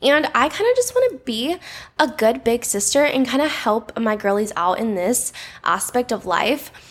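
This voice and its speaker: A woman with a high pitch and lively intonation speaks at a moderate pace over noticeable background noise. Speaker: podcast host. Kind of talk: casual chat.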